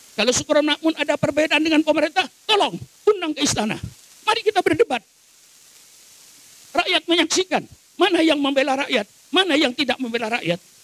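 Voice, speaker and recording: Delivered at a very fast pace with lively intonation yet long, frequent pauses, the speech has a dry, close sound with no echo. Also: man, extremely high pitch for a man. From Madura, Indonesia. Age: 80s+. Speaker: Islamic cleric. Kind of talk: sermon. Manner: forceful, fiery oratory.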